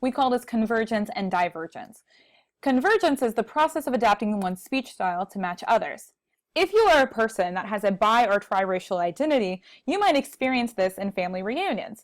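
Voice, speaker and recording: With an American accent, a woman talks at a fairly quick pace and with lively intonation. The background is quiet. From Texas. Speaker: college speech instructor. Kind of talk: recorded lecture. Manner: conversational. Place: home room. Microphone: earbuds.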